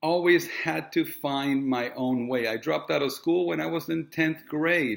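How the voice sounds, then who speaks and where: At a fairly slow pace, a man speaks at a fairly high pitch with ordinary pitch variation. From Puerto Rico and Miami. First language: Spanish. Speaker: real estate agent and coach. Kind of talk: direct-to-camera monologue. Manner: casual, with frequent fillers.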